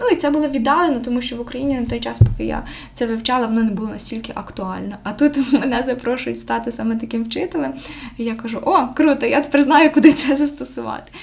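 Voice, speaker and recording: A woman speaks very fast in a high pitch, her loudness rising and falling sharply. Noticeable background noise sits behind her. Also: ordinary pitch variation. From western Ukraine, Ivano-Frankivsk region. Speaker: social educator and scout leader. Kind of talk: casual interview.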